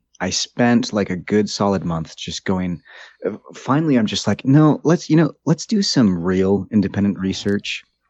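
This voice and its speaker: A man talks in a plain, everyday voice with an American accent. His pitch is fairly low, his pace moderate, and his intonation lively. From US. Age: 30s. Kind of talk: casual chat. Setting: studio.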